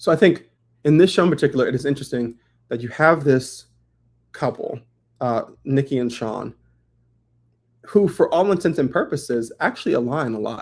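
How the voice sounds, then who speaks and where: In a very clean recording with a silent background, a man speaks with lively intonation and long, frequent pauses. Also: moderate pace. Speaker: live-stream host. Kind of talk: casual chat. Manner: expressive, animated.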